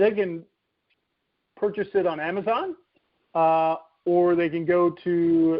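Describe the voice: A man's high-pitched voice with fairly even intonation and long, frequent pauses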